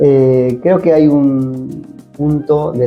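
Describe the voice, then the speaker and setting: A man's medium-pitched voice comes through with music playing behind it. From Argentina. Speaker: voice actor. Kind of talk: interview answer.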